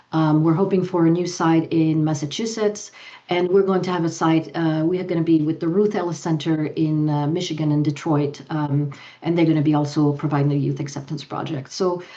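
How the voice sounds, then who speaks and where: With audible room echo, a woman talks at a fairly quick pace in a dark, mellow tone, her very deep, low pitch held in fairly even intonation. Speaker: youth and family program director. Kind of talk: conference presentation; panel Q&A answer. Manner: fast; halting, many fillers.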